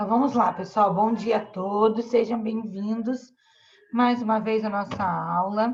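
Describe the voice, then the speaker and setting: Delivery comes at a fairly slow pace. It stays flat and monotone. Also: woman, fairly high pitch for a woman. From Brazil, Espírito Santo (Vila Velha). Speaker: school teacher. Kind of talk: online class lesson. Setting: video call.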